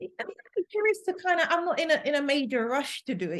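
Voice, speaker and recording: A woman with a London accent speaks with lively intonation. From London, England. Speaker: language assistant. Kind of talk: interview answer.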